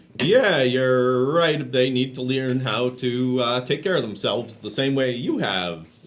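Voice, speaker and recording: A man at a medium pitch with ordinary pitch variation, a fairly slow pace and hardly any pauses, against noticeable background noise. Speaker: comedy news show host. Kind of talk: satirical interview questions.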